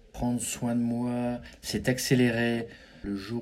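The pace is very slow as a man speaks. Audible room echo surrounds his voice. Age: 50s. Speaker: business executive. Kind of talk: interview. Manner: halting.

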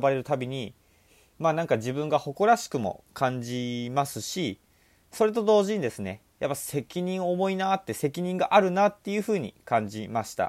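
Very wide pitch swings from a man at a moderate speed, the recording very clean and the background silent. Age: 20s. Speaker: podcast host and part-time lecturer. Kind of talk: solo podcast monologue. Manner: casual, conversational.

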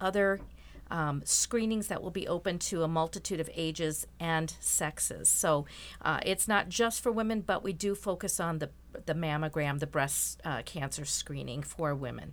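In a very clean recording with a silent background, a woman with an American accent speaks with vocal fry and ordinary pitch variation. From Rochester, Minnesota. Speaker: event organizer for a ministry outreach. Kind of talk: interview.

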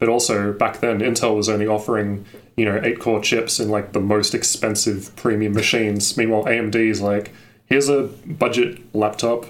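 A man with an Australian accent speaks at a fairly quick pace. His fairly low voice holds a very even loudness. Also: fairly even intonation. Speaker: tech YouTuber. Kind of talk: casual chat.

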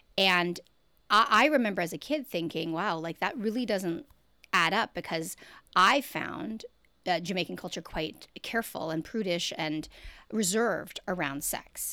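With a Canadian accent and a normal speaking voice, a woman talks at a moderate pace and medium pitch with lively intonation, in a very clean recording with a silent background. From Canada. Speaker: sex and relationship educator. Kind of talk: casual interview chat.

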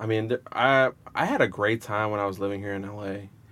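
A man with an American accent speaks at a fairly quick pace in a normal speaking voice, his pitch fairly low, on a very clean recording with a silent background. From Rhode Island, US, to Salvadoran parents. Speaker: soccer supporters group founder. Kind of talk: casual interview. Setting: studio.

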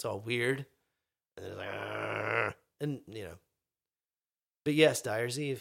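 A man's vocal fry at a very slow pace, in a very clean recording with a silent background. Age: 40s. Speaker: podcast guest, rock music fan. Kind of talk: casual chat.

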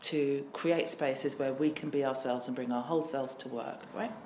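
A woman is speaking. Noticeable background noise and audible room echo surround her voice. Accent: southern English. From southern England, Worthing (Nigerian heritage). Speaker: diversity trainer and business owner, LGBT activist. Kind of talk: interview. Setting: office.

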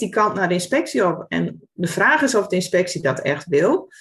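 A woman with vocal fry, speaking at a moderate pace. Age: 40s. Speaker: former primary school teacher, education initiative founder. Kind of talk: casual interview conversation.

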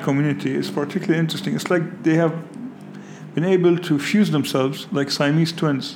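A man with a fairly high pitch talks at a fairly quick pace. Audible room echo and noticeable background noise fill the recording. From Lebanon. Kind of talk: interview. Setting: outdoors overlooking street protests.

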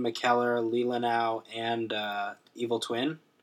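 Speaking very slowly, a man keeps to a medium pitch. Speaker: podcast co-host. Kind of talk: casual chat.

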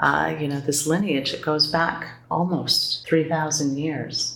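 A woman speaks in an American accent at a moderate pace with a very deep, low pitch. Her intonation is monotone and flat, and there is noticeable background noise. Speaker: Buddhist teacher.

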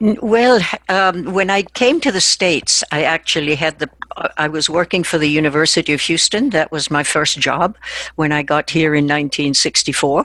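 Over noticeable background noise, a woman speaks at a moderate pace with very even loudness. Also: fairly low pitch for a woman, ordinary pitch variation, dry, close sound with no echo. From Argentina. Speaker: translator and interpreter. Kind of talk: interview.

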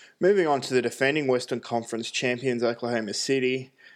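Speaking with an Australian accent, a man talks at a medium pitch against a quiet background. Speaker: basketball podcast host. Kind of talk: solo sports analysis. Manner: frequent fillers (uh, um).

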